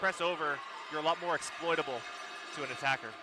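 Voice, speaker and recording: Over noticeable background noise, a man is shouting in a raised, projected voice. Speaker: color commentator. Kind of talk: live commentary. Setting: gym with loud crowd. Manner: loud, shouting.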